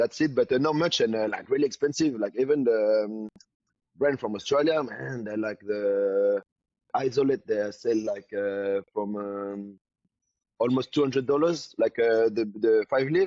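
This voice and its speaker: Speaking at a moderate pace with a French accent, a man uses a medium-pitched voice with ordinary pitch variation. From New Caledonia. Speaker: bodybuilder and supplement entrepreneur. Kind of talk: casual interview. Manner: halting, many fillers.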